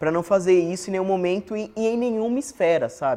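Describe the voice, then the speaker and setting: The voice has a dark, mellow tone. The pace is moderate. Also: man. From São Paulo, Brazil (born in Pernambuco). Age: 30s. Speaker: teacher. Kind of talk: interview testimony. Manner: conversational.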